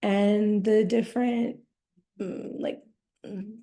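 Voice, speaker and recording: Vocal fry runs through speech delivered at a very slow pace. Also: woman. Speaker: essay writer. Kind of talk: casual introduction before a reading. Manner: halting.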